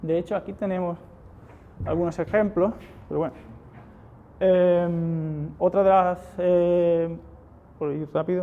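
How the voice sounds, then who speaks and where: A man with an Andalusian accent speaks at a high pitch. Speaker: software security engineer. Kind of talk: conference talk with live demo.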